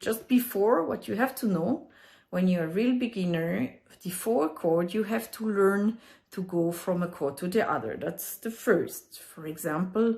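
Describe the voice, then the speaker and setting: A woman with a strong French accent, somewhat breathy at a medium pitch, fairly slow and lively in intonation, on a very clean recording with a silent background. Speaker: ukulele teacher. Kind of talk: music tutorial explanation.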